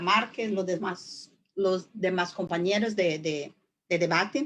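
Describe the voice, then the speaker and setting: With a Portuguese accent, a woman is talking. She moves along at a fairly slow pace. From southern Brazil. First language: Portuguese (speaking Spanish). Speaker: judge and law professor. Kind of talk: webinar lecture. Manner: slow, deliberate; halting, many fillers.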